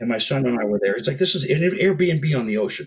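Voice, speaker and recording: Fairly quick and somewhat breathy, a man speaks with lively intonation. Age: 60s. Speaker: health business founder, guest expert. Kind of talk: casual interview chat.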